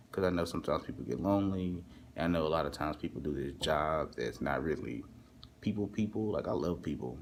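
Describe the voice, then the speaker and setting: Very fast speech with lively intonation and vocal fry. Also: man, very deep, low pitch for a man. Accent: Southern US. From Texas, US South. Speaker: overnight hotel worker and vlogger. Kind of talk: casual vlog monologue. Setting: hotel front desk at night, alone. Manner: casual, filler-heavy, repetitive.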